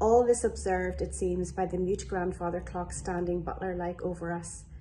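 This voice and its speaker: A woman talks with a Northern Irish accent. Light background noise sits behind her. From Northern Ireland, Lurgan, County Armagh; Northern Ireland. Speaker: business development executive. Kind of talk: poetry reading. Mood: calm, reflective, measured. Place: home room. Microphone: phone near.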